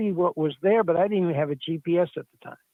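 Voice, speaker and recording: Pitched high, a man's voice carries fairly even intonation. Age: 70s. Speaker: retired geocacher, caller. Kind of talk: casual chat. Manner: halting, many fillers.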